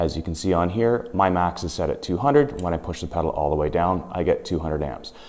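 Over a quiet background, a man with a very deep, low voice speaks very fast and with lively intonation, hardly pausing at all. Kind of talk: tutorial. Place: garage.

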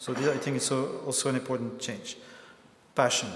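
The voice moves at a moderate pace. Room echo is audible. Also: man. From Belgium. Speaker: lecturer and activist; lecturer. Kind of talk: lecture. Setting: stage with audience. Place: hall. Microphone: lapel.

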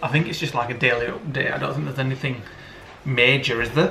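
A man's fairly high-pitched voice carries audible room echo, with light background noise behind it. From England. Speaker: vlogger. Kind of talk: casual vlog talk. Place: kitchen. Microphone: phone near.

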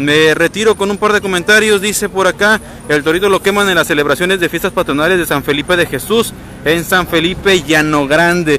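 A man talks at a fairly quick pace and a high pitch, with ordinary pitch variation and very even loudness. The sound is dry with no echo, over light background noise. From Mexico, Pitillal (Puerto Vallarta, Jalisco). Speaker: local news reporter. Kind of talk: live stream walkthrough reporting. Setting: outdoors on the seafront promenade. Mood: relaxed, admiring. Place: waterside. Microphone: phone near.

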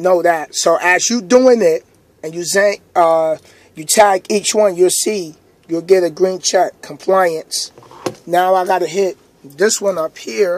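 Over light background noise, a man talks at a very slow pace and a high pitch with ordinary pitch variation, in a dry sound with no echo. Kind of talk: tutorial. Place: car. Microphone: phone near.

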